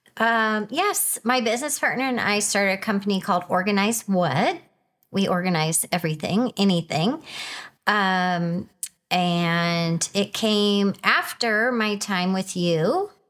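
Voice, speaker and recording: At a fairly slow pace, a woman with an unremarkable speaking voice talks at medium pitch with ordinary pitch variation and very even loudness, on a very clean recording with a silent background. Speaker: wife sharing her marriage story. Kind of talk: testimony.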